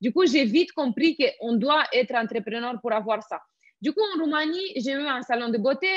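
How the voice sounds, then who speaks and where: A woman with a Romanian accent, high-pitched and enthusiastic, energetic in tone, with lively intonation at a moderate pace. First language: Romanian (speaking French). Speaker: network marketing entrepreneur. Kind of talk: interview.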